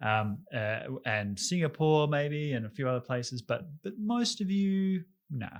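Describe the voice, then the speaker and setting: Delivered at a fairly slow pace in an Australian accent, the voice makes very wide pitch swings. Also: man, fairly high pitch for a man, very clean recording, silent background. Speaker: podcast co-host discussing foreign policy. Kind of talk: casual discussion.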